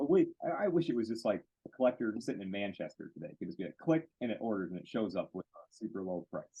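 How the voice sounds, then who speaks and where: A speaker with a Western US accent talks at a very fast pace, the pitch swinging very widely. The tone is animated throughout. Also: man. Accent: American, self-described cowboy. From Michigan, US. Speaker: card care product maker. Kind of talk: interview.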